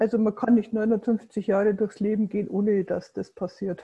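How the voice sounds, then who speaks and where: At a moderate pace, the voice is dark, mellow and somewhat breathy, with monotone, flat intonation and a dry, close sound with no echo. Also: woman. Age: 50s. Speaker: coach and adult education lecturer. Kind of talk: interview.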